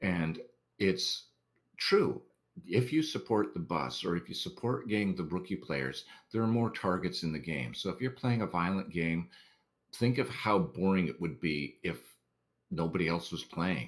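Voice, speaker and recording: A man with a very deep, low pitch, vocal fry and very wide pitch swings at a moderate pace, in a very clean recording with a silent background. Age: 60s. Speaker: online game community volunteer and blogger. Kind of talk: interview. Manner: casual, conversational with fillers.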